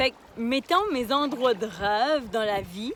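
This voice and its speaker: An animated tone and lively intonation over noticeable background noise. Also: woman. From Quebec, Magdalen Islands. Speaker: life coach and vlogger. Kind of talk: casual vlog. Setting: outdoors in a kayak on the water. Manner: casual, animated.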